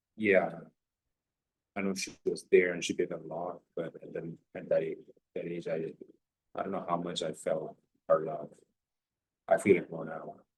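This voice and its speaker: A man talks at a moderate pace with big swings in loudness and long, frequent pauses. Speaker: personal vlogger. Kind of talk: personal reflective monologue. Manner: halting.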